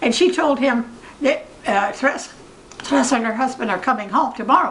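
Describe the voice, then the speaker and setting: A woman with a high pitch and lively intonation talks at a moderate pace amid noticeable background noise and audible room echo. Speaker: retired chiropractor. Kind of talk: family interview, storytelling. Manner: halting.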